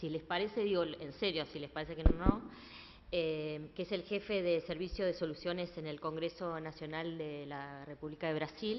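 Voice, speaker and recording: This woman's pitch is fairly low, and her intonation is fairly even. She keeps a moderate pace. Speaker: event moderator. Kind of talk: panel moderation. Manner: hesitant, many fillers.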